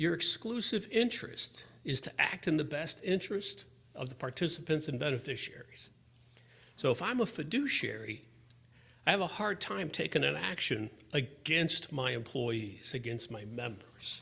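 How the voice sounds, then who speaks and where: With a bright, sharp tone and vocal fry, a man talks at a moderate pace in a fairly high pitch, his pitch swinging very widely. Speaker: benefits lawyer. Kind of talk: conference presentation.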